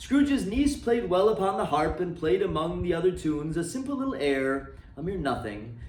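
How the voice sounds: A man speaks at a fairly high pitch with a slightly mellow tone and lively intonation. His pace is moderate, and the room echo is audible.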